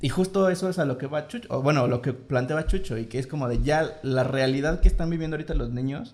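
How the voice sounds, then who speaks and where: The man talks at a fairly quick pace. His medium-pitched voice sounds somewhat breathy. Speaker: podcast host. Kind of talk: casual chat.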